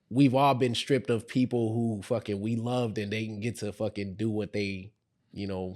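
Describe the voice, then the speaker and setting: A man with an American accent at a fairly quick pace, a normal speaking voice with ordinary pitch variation. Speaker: podcast host. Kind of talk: casual chat.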